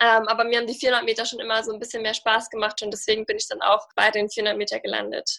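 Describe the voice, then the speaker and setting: A woman speaks at a very fast pace with hardly any pauses. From Germany. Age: 20s. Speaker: sprinter. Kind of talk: interview.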